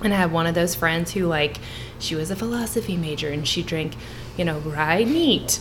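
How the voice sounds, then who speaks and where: Over music in the background, a woman talks at a moderate pace with a fairly low pitch and ordinary pitch variation. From southern Kentucky. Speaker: bourbon tasting guest. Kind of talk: casual chat.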